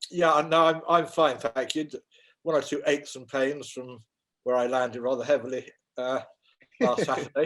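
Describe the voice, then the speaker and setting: A man at a moderate pace with fairly even intonation and long, frequent pauses. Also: fairly high pitch for a man. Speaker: auctioneer. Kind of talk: interview answer.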